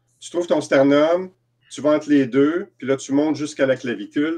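A dark, mellow tone in a Quebec accent over a quiet background. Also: man. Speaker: EFT practitioner and trainer. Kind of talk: interview. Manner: halting. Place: home room. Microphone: video call.

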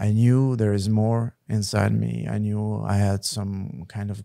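Over a quiet background, a man talks at a very slow pace with a fairly low pitch. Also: dry sound with no echo. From Switzerland. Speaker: network marketing leader. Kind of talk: casual interview. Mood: calm, reflective. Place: studio. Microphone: studio mic.

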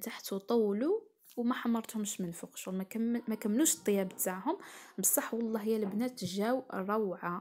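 With an Algerian accent, a woman speaks at a fairly slow pace, medium in pitch and with fairly even intonation. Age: 20s. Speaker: cooking and lifestyle vlogger. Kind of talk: vlog narration.

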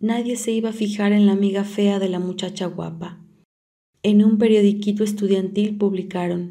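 A dark, mellow tone carries monotone, flat intonation at a moderate pace. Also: woman. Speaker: audiobook reader. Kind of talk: literary audiobook reading, a woman's confessional monologue to a priest. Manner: intimate, confiding, hesitant and wistful, shifting to bitter resentment and rueful sighs.

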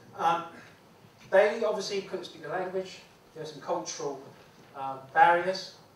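A high-pitched man with big swings in loudness and long, frequent pauses, amid audible room echo and light background noise. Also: ordinary pitch variation, moderate pace. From Hong Kong, raised in the UK from age 10. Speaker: former police officer and public speaker. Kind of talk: lecture. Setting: stage with audience. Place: classroom. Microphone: camera far.

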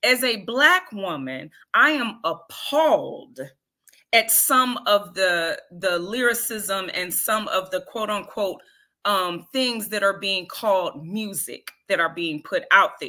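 Her tone is bright and sharp, with lively intonation. The woman speaks at a very slow pace against a quiet background. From Detroit. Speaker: spoken word artist; guest. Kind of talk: interview. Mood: passionate, critical. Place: home room.

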